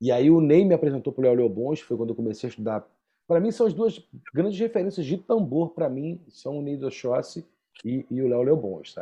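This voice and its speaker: A man with a Rio de Janeiro accent speaks at a fairly quick pace in a fairly high pitch, his voice swinging very widely up and down. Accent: Carioca Brazilian Portuguese. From Rio de Janeiro, Brazil. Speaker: percussionist and podcast co-host. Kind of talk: casual chat.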